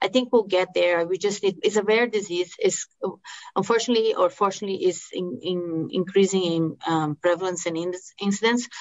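A woman at medium pitch, speaking at a moderate pace. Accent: Brazilian Portuguese. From Brazil. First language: Portuguese. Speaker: medical oncologist. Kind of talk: expert interview.

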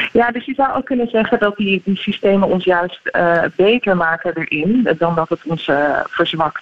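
Lively intonation at a moderate pace with hardly any pauses, over noticeable background noise. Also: woman, medium pitch for a woman. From Netherlands. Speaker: neuropsychologist. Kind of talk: radio interview.

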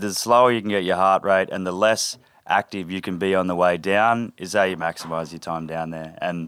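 In a very clean recording with a silent background, a man with an Australian accent speaks fairly quickly, his very deep, low voice keeping fairly even intonation. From north of Cairns, Queensland, Australia. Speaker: sailing charter first mate. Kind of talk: casual interview with storytelling. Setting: on an anchored sailboat, live in front of crew.

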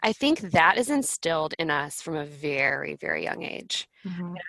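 Fairly low in pitch, a woman speaks at a fairly slow pace with vocal fry. The sound is dry and close, with no echo. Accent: American. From Florida, Pensacola. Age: 30s. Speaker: author and planner entrepreneur. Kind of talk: podcast interview.

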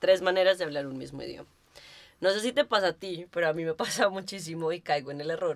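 A woman talks at a fairly quick pace with ordinary pitch variation. Hers is a plain, everyday voice. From Colombia. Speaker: podcast co-host. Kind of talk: casual chat. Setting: office studio.

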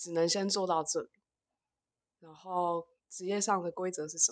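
A woman's fairly low voice, fairly even in intonation and fairly slow in pace, against a quiet background. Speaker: social worker. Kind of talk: casual chat. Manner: halting.

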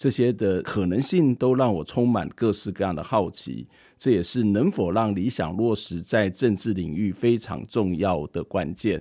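A man speaks at a fairly slow pace with a dark, mellow tone and a fairly low pitch, his pitch varying in an ordinary way. He barely pauses, and the recording is very clean over a silent background. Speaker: podcast interviewer. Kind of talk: scripted narration.

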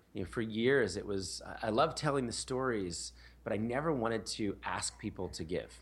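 Speaking with an American accent, the man has a fairly low pitch, vocal fry and ordinary pitch variation. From US Northeast, Philadelphia. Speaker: nonprofit founder. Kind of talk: interview.

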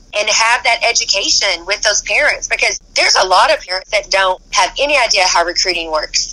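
Energetic in tone, the speech moves at a fairly quick pace with hardly any pauses and very even loudness over noticeable background noise. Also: woman. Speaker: college basketball coach. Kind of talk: interview.

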